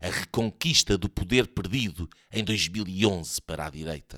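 A man speaks at a fairly slow pace. The recording is very clean, dry and close, with a silent background and no echo. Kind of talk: mock-epic satirical audio-drama narration, read aloud as a storyteller. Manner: animated when voicing the character, shouting and laughing in quoted lines.

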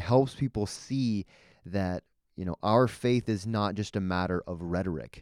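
An unremarkable speaking voice from a man with a Canadian accent, fairly low in pitch, at a moderate pace with ordinary pitch variation, dry and close with no echo, on a very clean recording with a silent background. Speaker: podcast co-host, new father. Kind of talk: casual conversation, Bible discussion.

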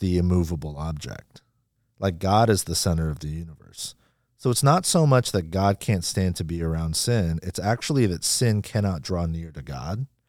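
Very deep and low, this man's voice moves at a moderate pace with lively intonation. The recording is very clean, with a silent background. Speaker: pastor. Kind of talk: casual chat. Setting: studio.

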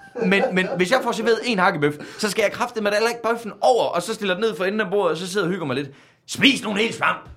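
Noticeable background noise accompanies a man with a high pitch. He talks at a very fast pace with ordinary pitch variation. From Denmark, central Jutland. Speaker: comedian. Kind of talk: casual chat. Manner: dry, sarcastic-sounding.

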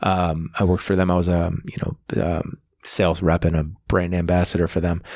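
The speaker talks at a fairly quick pace in a monotone, flat intonation with an American accent. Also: man, very deep, low pitch for a man. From Buffalo, New York. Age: 40s. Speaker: comedian. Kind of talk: casual chat.

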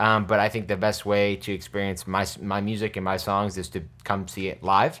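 A man in an ordinary speaking voice with an American accent, fairly low in pitch, at a moderate pace, with fairly even intonation, on a very clean recording with a silent background. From upstate New York (New Hartford). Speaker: singer-songwriter. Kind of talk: casual interview.

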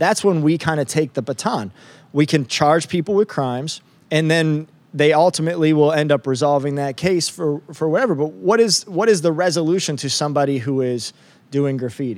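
A man talks fairly quickly in a plain, everyday voice with an American accent. His pitch is fairly high, with ordinary pitch variation. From upstate New York. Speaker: district attorney. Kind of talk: interview.

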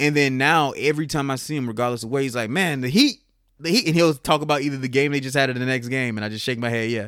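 A man speaks very fast with an American accent. The recording is very clean, with a silent background. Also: ordinary pitch variation. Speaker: comedian. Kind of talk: casual chat.

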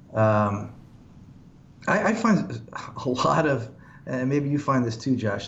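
Audible room echo surrounds a man's medium-pitched voice with lively intonation. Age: 50s. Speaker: pastor. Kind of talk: casual chat. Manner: halting.

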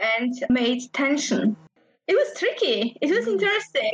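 Speaking with a Polish accent, a woman talks at a fairly slow pace in a high pitch. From Poland. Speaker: game designer. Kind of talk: interview.

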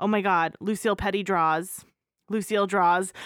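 Over a silent background in a very clean recording, a woman with an unremarkable speaking voice talks at a medium pitch and a moderate pace. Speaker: podcast host. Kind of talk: casual podcast chat about films.

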